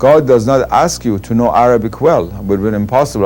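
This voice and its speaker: A man talks very fast with a Persian accent. His pitch moves up and down in an ordinary way. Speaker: Islamic scholar. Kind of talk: interview.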